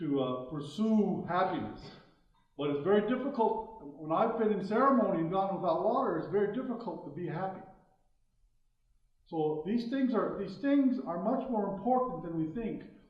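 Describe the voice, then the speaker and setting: High-pitched male speech with lively intonation and long, frequent pauses, plus audible room echo. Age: 60s. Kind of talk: public talk. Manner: halting, with fillers.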